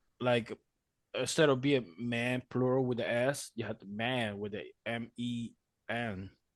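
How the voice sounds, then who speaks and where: A man's medium-pitched voice at a fairly slow pace, fairly even in intonation, over a quiet background. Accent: Spanish. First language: Spanish. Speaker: podcast co-host. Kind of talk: casual chat.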